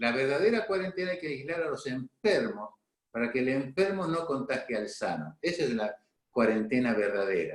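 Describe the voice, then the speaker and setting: Very wide pitch swings in a fairly high male voice, delivered at a moderate pace. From Argentina, San Cristóbal, Santa Fe province. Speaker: doctor, local health director. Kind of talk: interview.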